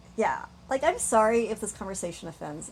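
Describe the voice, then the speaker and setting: Somewhat breathy, a woman speaks at a moderate pace with a fairly high pitch. Her intonation is lively. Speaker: vlogger. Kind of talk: casual monologue. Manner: rambling, tangential; halting with fillers.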